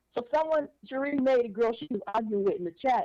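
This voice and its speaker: At a fairly quick pace, a woman speaks with a dark, mellow tone. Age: 60s. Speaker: caller. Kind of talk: casual chat.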